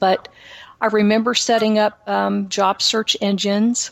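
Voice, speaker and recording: At a fairly slow pace, a woman speaks with a slight Texan accent. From Texas, Houston. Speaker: author and speaker. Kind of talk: interview testimony. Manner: halting.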